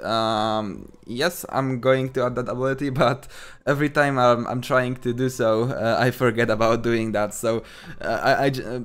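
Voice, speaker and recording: A man with a Polish accent speaks at medium pitch and a moderate pace in a monotone, flat intonation. The recording is very clean, with a silent background. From Poland. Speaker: game developer. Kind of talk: livestream Q&A. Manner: halting, many fillers.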